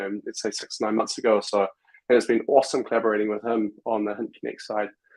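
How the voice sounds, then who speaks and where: A man's medium-pitched voice with a New Zealand accent. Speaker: software company executive. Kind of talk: casual interview chat. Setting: live stream video call.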